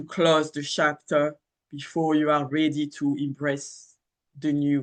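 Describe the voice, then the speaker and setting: Someone speaks with a French accent against a quiet background. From France. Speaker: astrologer. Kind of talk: casual monologue. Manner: halting, many fillers.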